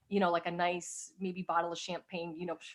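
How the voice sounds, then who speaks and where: With an American accent, a normal speaking voice talks at a fairly quick pace. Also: woman. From US East Coast. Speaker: webinar panelist. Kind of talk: casual chat.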